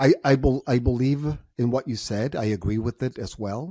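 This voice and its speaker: Speaking with a Spanish accent, a man uses a dark, mellow tone at a moderate pace with ordinary pitch variation and a dry, close sound with no echo. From Mexico, Tijuana. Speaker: entrepreneur and author. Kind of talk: podcast interview.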